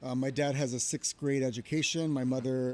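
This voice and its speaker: A man speaks in a Spanish accent with a dark, mellow tone at medium pitch, his intonation monotone and flat, in a dry, close sound with no echo. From Los Angeles (South LA, El Sereno). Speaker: charter school network CEO. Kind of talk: podcast interview. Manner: hesitant, many fillers.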